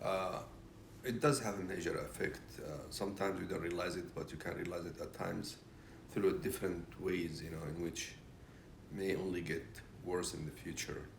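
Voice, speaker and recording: Audible room echo surrounds a man with a very deep, low pitch and a somewhat breathy sound. He keeps a moderate pace with ordinary pitch variation. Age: 60s. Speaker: retired business consultant. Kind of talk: interview. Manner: hesitant, many fillers.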